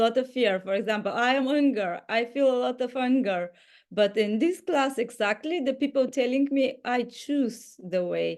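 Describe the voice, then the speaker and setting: A woman speaks with a high pitch and lively intonation at a moderate pace. The background is quiet. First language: not English. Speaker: inner dance teacher. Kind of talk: group video call sharing. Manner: halting.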